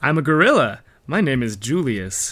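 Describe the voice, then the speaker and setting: This man is doing a put-on character voice. His pitch is medium and his pace is moderate. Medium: read story. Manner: polite, gentle.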